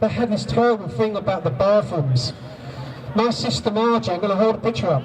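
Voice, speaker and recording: Over noticeable background noise, a man with a high pitch makes very wide pitch swings. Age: 60s. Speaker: abuse survivor and campaigner. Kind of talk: testimony. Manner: halting, repeating words.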